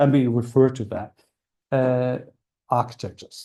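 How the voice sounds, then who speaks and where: The speaker is a man with a medium pitch. His tone is dark and mellow. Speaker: university lecturer. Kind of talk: lecture. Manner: fast; hesitant, many fillers.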